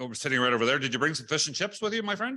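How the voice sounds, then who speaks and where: A man speaks loudly with a Canadian accent. His tone is bright and sharp, and his intonation is lively. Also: very clean recording, silent background. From British Columbia, Canada. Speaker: national union president. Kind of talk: speech at book launch. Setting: hotel event room with audience, live streamed.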